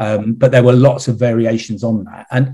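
Somewhat breathy and dark, mellow in tone, a man's voice holds a fairly even intonation. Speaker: retired CEO and investor. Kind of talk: interview. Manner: halting, many repeated words.

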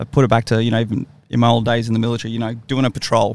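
At a very fast pace, a man speaks with an Australian accent. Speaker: military veteran podcast host. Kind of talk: casual chat.

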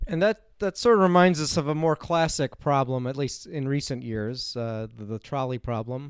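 A man with an American accent speaks in a plain, everyday voice at a fairly quick pace with lively intonation, on a very clean recording with a silent background and a dry, close sound with no echo. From US Midwest, Chicago. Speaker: philosophy lecturer, podcast co-host. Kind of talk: casual academic discussion.

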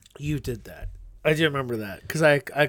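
Here a man with an American accent uses a normal speaking voice at a fairly high pitch and a moderate pace. The recording is very clean, and the background is silent. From Indiana, Pennsylvania (western Pennsylvania). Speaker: podcast co-host and musician. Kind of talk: casual chat.

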